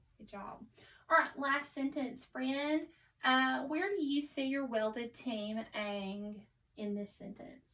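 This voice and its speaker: A woman with a Southern US accent speaks very slowly in a bright, sharp, high voice with ordinary pitch variation. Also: big swings in loudness. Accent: Southern US twang. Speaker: teacher. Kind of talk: online lesson for young pupils. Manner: slow, careful enunciation.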